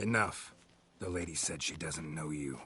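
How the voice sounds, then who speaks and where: A man growls in a put-on character voice with a very deep, low pitch. He keeps a moderate pace and ordinary pitch variation. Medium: video game. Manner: terse, gruff.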